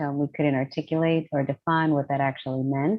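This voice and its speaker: A woman speaks with an American accent. Her pace is fairly quick. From New York City (Lower East Side, Manhattan). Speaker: professor and diversity consultant. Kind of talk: interview.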